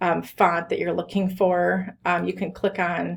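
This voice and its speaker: Her voice sits at a medium pitch for a woman and carries audible vocal fry. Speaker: college instructor. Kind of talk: screen-recorded tutorial lecture. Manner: hesitant, many filler ums.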